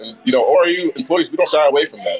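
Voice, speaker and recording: With music in the background, a man rattles off his words at a very fast pace. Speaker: diversity council member. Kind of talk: casual interview. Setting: outdoors at live event.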